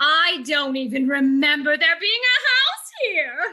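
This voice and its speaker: This is a put-on character voice, breathy and high in pitch. It moves at a fairly slow pace. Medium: stage play. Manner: gushing, breathy exclamations.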